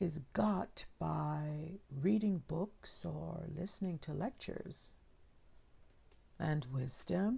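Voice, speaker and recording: A soft-spoken woman at a very slow pace. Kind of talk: soft-spoken ASMR reading of short tales. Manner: soft-spoken, slow.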